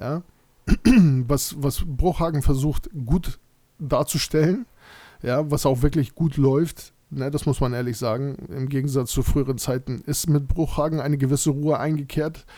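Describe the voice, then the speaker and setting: Pitched fairly high, this man's voice has a dark, mellow tone and moves at a moderate pace. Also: ordinary pitch variation. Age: 30s. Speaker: football fan podcaster. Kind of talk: solo monologue podcast. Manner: hesitant, many fillers.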